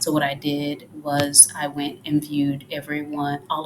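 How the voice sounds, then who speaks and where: A quiet woman's voice, very deep and low-pitched, with noticeable background noise. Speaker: freelance social media manager. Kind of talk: tutorial. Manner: quiet, talking low.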